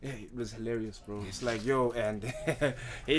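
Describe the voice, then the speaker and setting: A man speaks at a moderate pace and medium pitch, his intonation fairly even. Noticeable background noise and audible room echo fill the recording. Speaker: rapper. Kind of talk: podcast interview.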